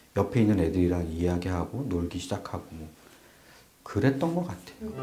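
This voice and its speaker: Amid audible room echo, a man with a dark, mellow tone and a somewhat breathy sound speaks at a moderate pace, his pitch swinging very widely. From South Korea, Chungcheongbuk-do (Boeun). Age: middle-aged. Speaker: interviewee recalling childhood. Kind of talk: documentary interview.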